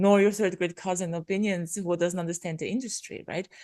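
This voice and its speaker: A woman with a non-native accent speaks fairly quickly at a medium pitch, with a dark, mellow tone. Her intonation stays fairly even against a quiet background. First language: not English. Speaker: podcaster, business coach. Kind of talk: casual interview chat.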